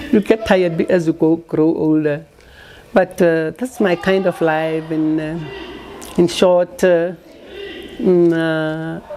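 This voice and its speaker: A woman's fairly low voice, very slow and fairly even in intonation, with long, frequent pauses over noticeable background noise. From South Africa, Pretoria area. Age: 80s+. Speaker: retired teacher and community organizer. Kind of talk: interview. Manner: hesitant, with fillers.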